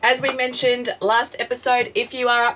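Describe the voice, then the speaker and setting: In an Australian accent, a bright, sharp tone moves at a fairly slow pace. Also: woman. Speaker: travel vlogger. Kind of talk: casual vlog chat. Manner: animated.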